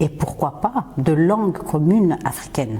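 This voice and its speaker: A woman speaks with a Swahili accent and lively intonation. Noticeable background noise is present. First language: Swahili (speaking French). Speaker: podcast host and singer. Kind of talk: podcast monologue. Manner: hesitant, frequent fillers.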